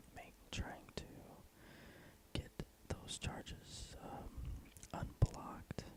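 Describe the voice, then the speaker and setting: Whispering at a very slow pace. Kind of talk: casual whispered talk to camera. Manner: whispered.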